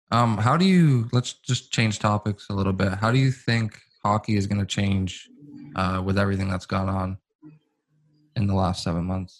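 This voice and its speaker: With music in the background, a man speaks in a fairly low pitch at a moderate pace and with fairly even intonation. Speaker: podcast co-host. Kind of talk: casual chat.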